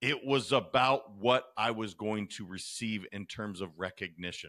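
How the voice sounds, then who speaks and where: An energetic man with an American accent speaks at a fairly slow pace, his pitch fairly low with ordinary variation. His tone is bright and sharp, and the recording is very clean with a silent background. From Montana. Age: 30s. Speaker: podcast host. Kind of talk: podcast interview.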